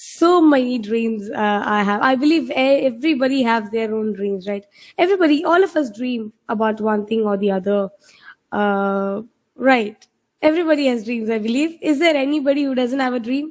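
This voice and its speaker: A woman with a Keralan accent, high-pitched, at a moderate pace with lively intonation. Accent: Indian English (Malayali). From India, Kerala (Kochin). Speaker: IELTS trainer. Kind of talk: online webinar teaching. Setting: video call webinar. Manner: hesitant, many fillers.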